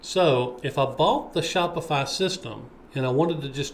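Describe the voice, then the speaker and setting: Fairly high male speech with ordinary pitch variation, plus audible room echo. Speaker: web developer. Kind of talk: screen-share tutorial.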